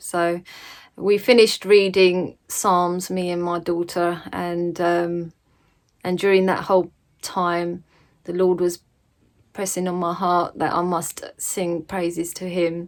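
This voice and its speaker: A woman with an English accent at a fairly low pitch, speaking at a very slow pace in a monotone, flat intonation. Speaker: religious vlogger. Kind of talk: casual vlog talk. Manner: hesitant, many fillers.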